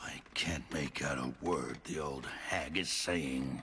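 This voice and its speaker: In a cartoonish character voice, a man speaks raspy and very deep, low-pitched at a fairly slow pace over clear background noise. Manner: cold, contemptuous.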